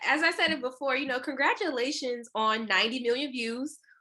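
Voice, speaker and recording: A raised, projected voice with a bright, sharp tone, ordinary pitch variation and a moderate pace. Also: woman. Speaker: interviewer. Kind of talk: interview question.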